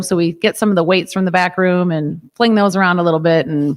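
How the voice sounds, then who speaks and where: Medium pitch from a woman with a Chicago accent and ordinary pitch variation, very clean recording, silent background. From US Midwest, Chicago suburbs. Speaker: yoga and fitness studio owner. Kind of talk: casual interview.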